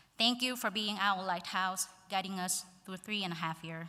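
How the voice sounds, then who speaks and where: With a Vietnamese accent, a woman speaks in a bright, sharp tone at a medium pitch. Her pace is moderate and her intonation fairly even. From central Vietnam (Quang Ngai). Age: 20s. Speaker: graduating student speaker. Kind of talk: graduation speech.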